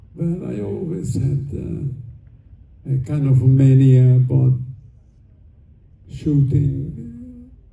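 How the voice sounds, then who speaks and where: A man's very slow speech at a medium pitch, with ordinary pitch variation and audible room echo. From Hungary. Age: 80s+. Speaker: film director. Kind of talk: convention panel Q&A. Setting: stage with audience. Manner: halting.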